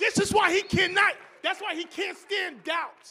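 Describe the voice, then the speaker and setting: A man's raised, projected voice. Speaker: preacher. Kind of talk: church sermon.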